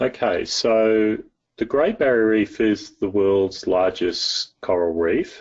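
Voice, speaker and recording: A man speaks very slowly with an Australian accent. His loudness stays very even. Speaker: soil and water scientist. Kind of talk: interview.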